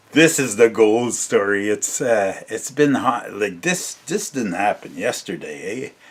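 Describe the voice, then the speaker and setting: A man speaking at a fairly slow pace, with hardly any pauses. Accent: Ontario. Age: 60s. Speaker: storyteller vlogger. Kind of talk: casual storytelling. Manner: halting, many fillers.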